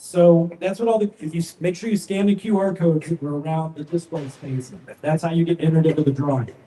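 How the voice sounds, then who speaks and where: Loud and at a very fast pace, a man speaks at a high pitch. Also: ordinary pitch variation. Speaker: audio company trainer. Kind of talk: live product presentation. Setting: large retail store with audience.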